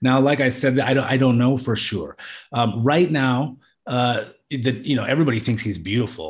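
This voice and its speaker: Somewhat breathy, a man speaks with an American accent and ordinary pitch variation. The recording is very clean, with a silent background. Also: medium pitch for a man, moderate pace. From southeast Alaska, US. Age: 40s. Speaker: expat in Thailand. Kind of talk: podcast interview. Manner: halting, many fillers.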